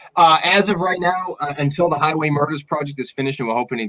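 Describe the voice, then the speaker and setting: Recorded dry and close with no echo, a man talks with a Boston accent. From Massachusetts, south of Boston (Dartmouth). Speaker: documentary filmmaker. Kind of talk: casual interview.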